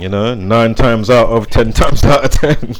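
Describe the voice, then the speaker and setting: A man talks in a medium pitch with ordinary pitch variation. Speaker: conspiracy and numerology commentator. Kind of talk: casual monologue. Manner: loud; rambling with fillers.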